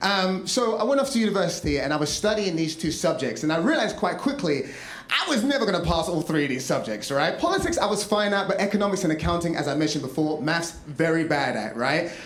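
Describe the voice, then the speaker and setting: A man's high voice with an English accent, very fast pace, hardly any pauses and lively intonation, plus audible room echo and noticeable background noise. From London, England. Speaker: comedian and storyteller. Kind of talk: stand-up storytelling. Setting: stage with audience. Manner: animated, chatty.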